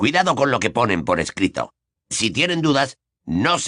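Plain reading aloud. The background is quiet.

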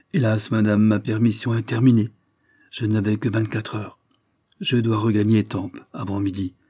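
Quiet background behind an unforced reading voice

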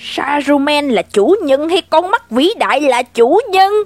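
This put-on character voice is high-pitched and gravelly, delivered at a fairly slow pace. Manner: sinister, malicious.

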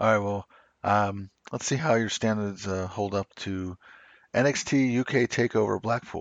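A man with an ordinary speaking voice talks at a moderate pace, at a fairly low pitch with ordinary pitch variation. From US South. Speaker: wrestling podcast host. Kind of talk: casual chat.

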